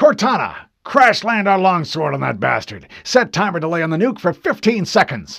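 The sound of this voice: In a very clean recording with a silent background, a man does a put-on character voice, high in pitch and fairly bright in tone, with big pitch swings, vocal fry, and a moderate pace.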